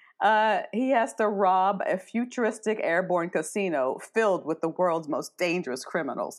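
A woman with an American accent has a normal speaking voice at a fairly low pitch. Her intonation is lively, and her pace is moderate. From US small colonial town. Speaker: podcast co-host. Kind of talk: casual chat. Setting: online remote recording.

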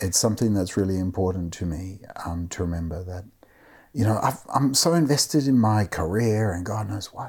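A man's somewhat breathy voice, fairly low in pitch, at a fairly quick pace. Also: ordinary pitch variation. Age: 50s. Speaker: author and professor. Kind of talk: interview conversation.

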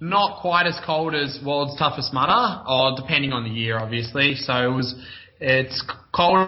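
A man with an Australian accent speaks at a moderate pace, his fairly high voice showing ordinary pitch variation. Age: 20s. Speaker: obstacle course racer. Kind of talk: casual interview.

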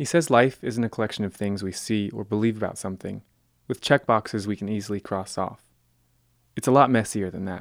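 In a very clean recording with a silent background and a dry, close sound with no echo, a man with a plain, everyday voice and fairly low pitch talks at a fairly quick pace with ordinary pitch variation. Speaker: radio reporter. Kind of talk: scripted narration.

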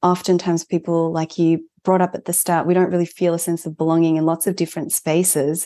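A woman with an Australian accent talks very fast in a fairly low, dark, mellow voice with monotone, flat intonation over a quiet background. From Melbourne, Australia (born in Japan, moved at four). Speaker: mental health organisation founder, therapist. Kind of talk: interview conversation.

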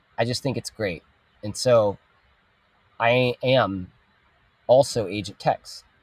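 A man talks at a very slow pace with long, frequent pauses and ordinary pitch variation. The sound is dry and close with no echo. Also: medium pitch for a man. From Texas. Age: 30s. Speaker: children's show producer and entrepreneur. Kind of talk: casual interview chat.

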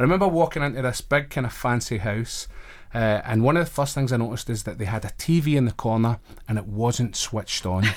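A man with a Glaswegian accent talks very fast at a medium pitch with ordinary pitch variation. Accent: Glaswegian Scottish. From Glasgow, Scotland. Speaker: chaplain and college staff member. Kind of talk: casual interview. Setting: radio studio.

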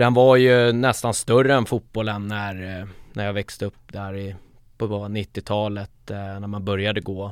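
An ordinary speaking voice moves at a fairly slow pace with fairly even intonation. Loudness swings widely in a very clean recording with a silent background. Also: man, fairly low pitch for a man. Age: 30s. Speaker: football supporter group founder. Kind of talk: casual interview.

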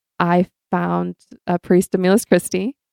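The recording is very clean, with a silent background and a dry, close sound with no echo. A woman at medium pitch speaks at a fairly slow pace. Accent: American. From Michigan, US Midwest. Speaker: consecrated laywoman. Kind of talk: casual interview.

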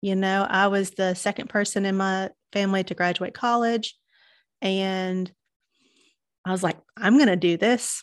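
A woman with a Southern US accent talks at a moderate pace and a medium pitch, with fairly even intonation and long, frequent pauses, over a quiet background. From Chattanooga, Tennessee, US South. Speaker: marketing business owner. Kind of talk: casual interview chat.

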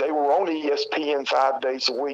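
A man talks in a fairly high pitch with a Southern US accent. His voice sounds dry and close, with no echo. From South Carolina. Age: 50s. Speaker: retired pro wrestler. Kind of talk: interview. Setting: phone call.

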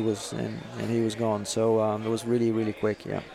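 Music plays in the background as a man speaks with a Portuguese accent. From Brazil. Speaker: racing driver. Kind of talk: casual chat over dinner.

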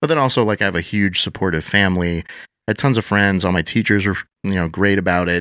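In a very clean recording with a silent background, a man with an American accent speaks at a very fast pace in a fairly low pitch. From Wisconsin, Madison area. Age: 40s. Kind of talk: podcast interview.

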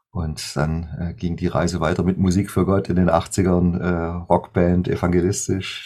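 A man's very deep, low voice at moderate speed. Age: 50s. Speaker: worship musician and songwriter. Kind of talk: interview.

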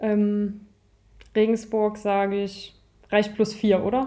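Her pitch is fairly high for a woman, with a dark, mellow tone. She speaks at a very slow pace. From northern Thuringia, Nordhausen. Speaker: handball player. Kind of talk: interview.

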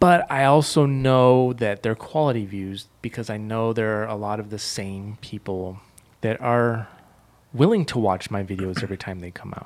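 A man with an unremarkable speaking voice talks at a moderate pace and medium pitch, with ordinary pitch variation. His loudness swings widely. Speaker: podcast co-host. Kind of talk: casual banter.

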